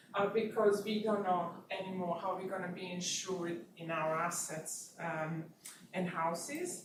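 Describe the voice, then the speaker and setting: A woman speaks at a moderate pace with fairly even intonation. Audible room echo and noticeable background noise surround her voice. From Bosnia and Serbia. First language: Bosnian/Serbian. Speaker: researcher. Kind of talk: lecture. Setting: university seminar. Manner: halting, many fillers.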